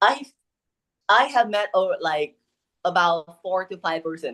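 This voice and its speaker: A woman speaks in a Vietnamese accent. Her pitch sits fairly low. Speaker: English learner, university student. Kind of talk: one-to-one English lesson conversation. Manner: halting, with many fillers.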